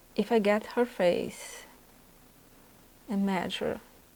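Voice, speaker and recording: A woman's voice with a Brazilian Portuguese accent. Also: long, frequent pauses. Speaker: artist and art instructor. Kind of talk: tutorial. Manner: halting.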